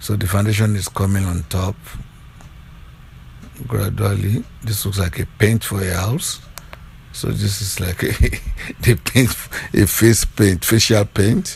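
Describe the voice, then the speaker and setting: A man with a Nigerian accent speaks at a fairly slow pace in a fairly low pitch, his intonation fairly even and his speech broken by long, frequent pauses over noticeable background noise. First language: Yoruba. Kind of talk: playful voiceover commentary on makeup video.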